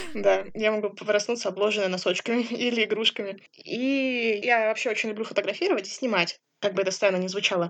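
A woman speaks at a fairly quick pace and fairly high pitch. She has a normal speaking voice with fairly even intonation. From Siberia, Kemerovo. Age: 20s. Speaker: blind psychology student, assistance dog owner. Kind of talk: interview.

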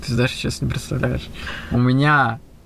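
Noticeable background noise behind a man's medium-pitched voice with fairly even intonation. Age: 30s. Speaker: podcast host, illusionist and entrepreneur. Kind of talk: casual chat.

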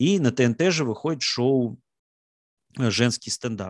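A man's plain, everyday voice at medium pitch, with ordinary pitch variation, a dry, close sound with no echo and a quiet background. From Russia, Samara. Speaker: stand-up comedian. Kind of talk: casual talk, online Q&A.

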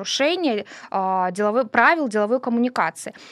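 Her pitch is high and varies in an ordinary way as this woman talks at a fairly quick pace. The recording is very clean and silent, with a dry, close sound and no echo. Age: 40s. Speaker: podcast co-host. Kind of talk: casual chat.

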